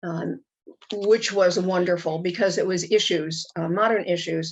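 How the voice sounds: Speaking slowly with an American accent, a woman holds a medium pitch and fairly even intonation.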